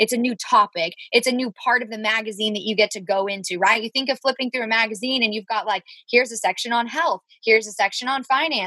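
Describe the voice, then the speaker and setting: A woman speaks at a very fast pace, her fairly high pitch showing ordinary variation. Her tone is bright and sharp, with a dry, close sound that has no echo. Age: 20s. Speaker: podcast co-host, business coach. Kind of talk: casual chat. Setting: recording in her closet. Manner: animated.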